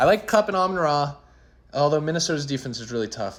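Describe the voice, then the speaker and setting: The speaker is a man with a medium pitch. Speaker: fantasy football league commentator. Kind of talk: casual chat. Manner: animated.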